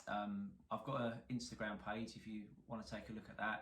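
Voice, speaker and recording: A man with a strong London accent speaks at a fairly low pitch, with audible room echo. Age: 40s. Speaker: car salvage repairer, YouTuber. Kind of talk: casual to-camera introduction.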